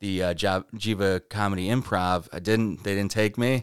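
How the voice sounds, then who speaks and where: A man with an American accent speaks in a plain, everyday voice, fairly low in pitch, with fairly even intonation at a moderate pace. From Rochester, New York. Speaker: comedian. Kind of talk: casual chat.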